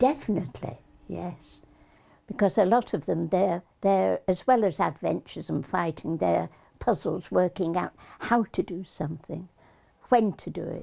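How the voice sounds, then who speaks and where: Her dark, mellow tone carries vocal fry at a fairly low pitch for a woman. She speaks at a moderate pace with lively intonation. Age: 80s+. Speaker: elderly video gamer. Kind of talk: casual interview.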